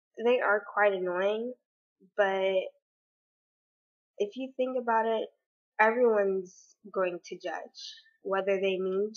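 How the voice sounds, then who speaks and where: Her voice is shaky, at a medium pitch. The woman speaks at a fairly slow pace with fairly even intonation. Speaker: vlogger. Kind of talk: personal vlog opinion monologue. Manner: hesitant, many fillers.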